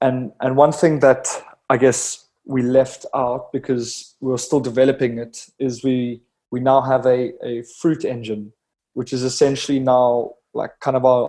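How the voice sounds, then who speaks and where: A man's medium-pitched voice with a dark, mellow tone, monotone, flat intonation, a moderate pace and a slight South African accent. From South Africa, Cape Town. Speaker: head of software engineering at a drone startup. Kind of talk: interview.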